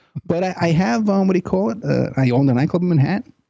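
This man has a plain, everyday voice, moving fairly quickly with ordinary pitch variation. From New York. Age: 50s. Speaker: private investigator and radio host. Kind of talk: interview.

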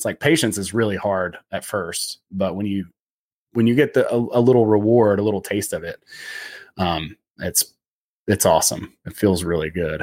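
A man with a normal speaking voice talks at a fairly low pitch and moderate pace with ordinary pitch variation, on a very clean recording with a silent background and a dry, close sound with no echo. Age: 40s. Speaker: former adventure guide, comedian. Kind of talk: casual interview chat.

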